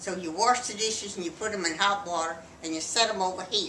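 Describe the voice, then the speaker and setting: Speaking fairly quickly with a Texan accent, a woman holds her medium pitch in fairly even intonation amid audible room echo. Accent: Texan Southern US. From Texas. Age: 80s+. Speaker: grandmother interviewed by family. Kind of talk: casual family interview.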